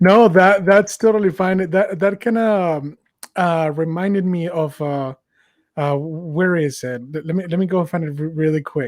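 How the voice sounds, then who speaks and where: Speaking at a fairly slow pace, a man with a Mexican accent has a high pitch and ordinary pitch variation. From Mexico. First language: Spanish. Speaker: podcast host. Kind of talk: casual political discussion. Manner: halting, many fillers.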